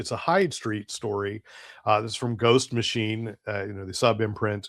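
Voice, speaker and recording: Recorded dry and close with no echo over a silent background, this very clean clip moves at a moderate pace. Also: man. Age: 60s. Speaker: comics reviewer. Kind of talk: casual review monologue. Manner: hesitant, many fillers.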